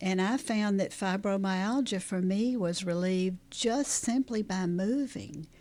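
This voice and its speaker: A woman with a Southern US accent speaks fairly slowly at a medium pitch, her tone dark and mellow and her pitch varying in an ordinary way. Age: 70s. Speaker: trauma therapist. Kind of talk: interview.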